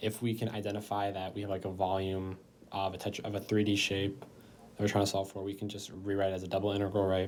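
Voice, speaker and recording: A man's fairly low voice, fairly quick in pace, with monotone, flat intonation. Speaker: math tutor. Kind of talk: tutorial. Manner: casual, conversational.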